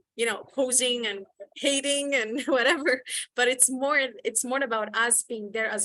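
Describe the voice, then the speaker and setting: Her voice high and bright with a sharp tone, a woman with a non-native accent speaks at a moderate pace with fairly even intonation. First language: not English. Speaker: youth activist. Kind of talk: panel discussion. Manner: halting, many repeated words.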